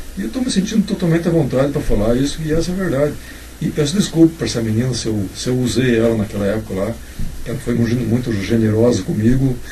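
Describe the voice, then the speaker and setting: A medium-pitched man talks at a very fast pace with lively intonation. Audible room echo and noticeable background noise fill the recording. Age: 60s. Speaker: writer. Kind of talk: casual chat. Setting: informal chat over drinks and cigarettes.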